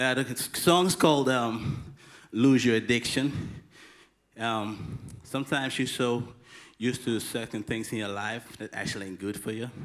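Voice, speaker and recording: On a very clean recording with a silent background, a man at medium pitch speaks at a moderate pace with ordinary pitch variation and long, frequent pauses. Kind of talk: stage talk introducing a song. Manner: halting, many fillers.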